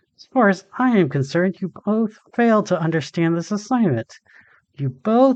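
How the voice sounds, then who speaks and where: Against a quiet background, a man performs in a put-on character voice. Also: dry, close sound with no echo. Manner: angry.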